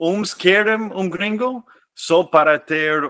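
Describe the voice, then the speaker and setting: In a dry, close sound with no echo, a man with a non-native accent speaks in a bright, sharp tone. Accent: foreign accent in Portuguese. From US, California. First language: English (speaking Portuguese). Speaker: expatriate guest. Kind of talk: podcast interview. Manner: halting, many repetitions.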